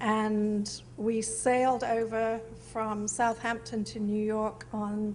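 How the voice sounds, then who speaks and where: Somewhat breathy and pitched fairly high, a woman's voice comes through with audible room echo. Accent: British. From England, Norfolk (East Anglia). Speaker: artist, photographer. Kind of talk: interview on stage. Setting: museum event with audience.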